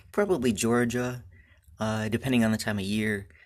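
A man's fairly low voice with an American accent and fairly even intonation, in a very clean recording with a silent background. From Michigan. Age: 20s. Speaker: beekeeper, podcast host. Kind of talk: solo podcast monologue. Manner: casual, with frequent fillers.

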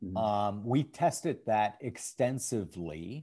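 A man's dark, mellow voice with an American accent, fairly slow and lively in intonation, on a very clean recording with a silent background. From US Midwest, St. Paul, Minnesota. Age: 60s. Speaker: investment fund manager. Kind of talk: interview.

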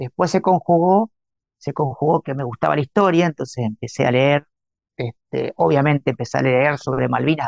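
Speaking at a fairly quick pace with a Rioplatense accent, a man uses lively intonation in a fairly high voice, recorded dry and close with no echo. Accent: Argentine Spanish (rioplatense). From Argentina, Santa Fe. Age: 50s. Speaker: writer and chemical engineer. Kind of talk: interview.

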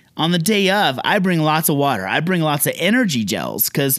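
On a very clean recording with a silent background, a man with an unremarkable speaking voice talks at a moderate pace, fairly high in pitch and lively in intonation. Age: 40s. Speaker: elopement photographer. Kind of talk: solo podcast monologue. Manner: casual, conversational.

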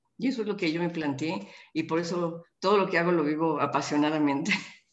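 Speaking at a moderate pace in a fairly low voice, a woman uses lively intonation in a room with audible echo. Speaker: politician. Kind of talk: interview. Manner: halting.

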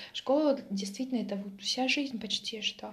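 This woman speaks with ordinary variation in her pitch. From Russia, Mtsensk (Oryol region). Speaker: vlogger. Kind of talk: casual vlog monologue. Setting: at home.

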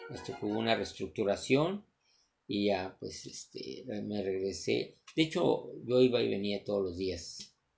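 The pace is fairly slow as a man talks. Background music plays throughout. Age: 40s. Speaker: entrepreneur vlogger. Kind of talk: motivational monologue. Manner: halting.

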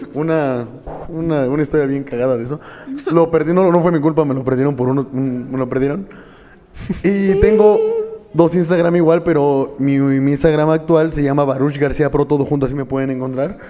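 There is noticeable background noise here. Over it, a man speaks with a fairly high pitch. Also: fairly even intonation, fairly quick pace. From Mexico, Tula de Allende, Hidalgo. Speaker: mixed martial arts fighter and coach. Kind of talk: casual chat.

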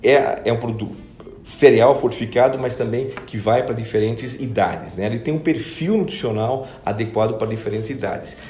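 Noticeable background noise and audible room echo surround a man's voice. He has medium pitch with ordinary variation and a moderate pace. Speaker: business executive. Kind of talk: interview. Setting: company office.

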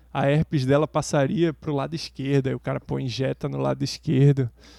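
Recorded dry and close with no echo, a man speaks at a fairly high pitch with a dark, mellow tone. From Brazil. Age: 40s. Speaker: podcast co-host. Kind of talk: casual chat.

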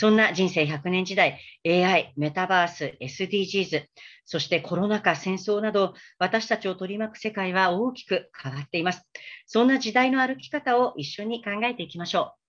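A woman at medium pitch, an unremarkable speaking voice, moderate pace, ordinary pitch variation, quiet background. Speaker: freelance announcer. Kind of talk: talk show hosting. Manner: formal.

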